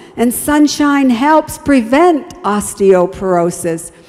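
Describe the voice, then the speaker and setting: A woman speaks at a very slow pace with lively intonation. Noticeable background noise can be heard. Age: 70s. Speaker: health evangelist. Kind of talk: health talk at evangelistic series. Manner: warm, encouraging.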